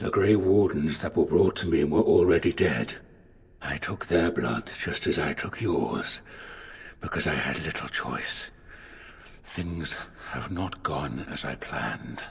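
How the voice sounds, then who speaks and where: In a put-on character voice, a man speaks at a very deep, low pitch and a fairly slow pace, leaving long, frequent pauses. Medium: video game. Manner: formal, measured.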